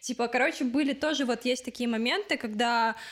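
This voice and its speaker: Recorded very cleanly against a silent background, a woman with a plain, everyday voice speaks at a fairly high pitch and moderate pace, with ordinary pitch variation. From Ukraine, Odesa. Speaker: fashion designer. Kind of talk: interview.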